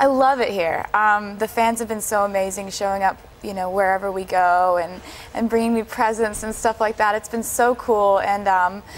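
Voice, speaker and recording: A woman with an American accent speaks at a moderate pace in a medium pitch. Her intonation is fairly even, and noticeable background noise runs underneath. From Pennsylvania, USA. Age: young. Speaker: singer-songwriter. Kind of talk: interview answer.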